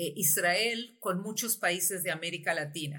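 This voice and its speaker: Bright and sharp in tone, a woman speaks at a fairly slow pace. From Uruguay, lived in Chile, Argentina, US and Mexico. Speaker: tech company CEO. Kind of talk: interview. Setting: video call. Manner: halting.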